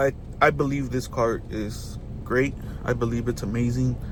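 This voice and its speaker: A man at a fairly slow pace with monotone, flat intonation, amid noticeable background noise and audible room echo. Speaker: car reviewer, YouTuber. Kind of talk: casual video review. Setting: inside a car. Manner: casual, filler-heavy.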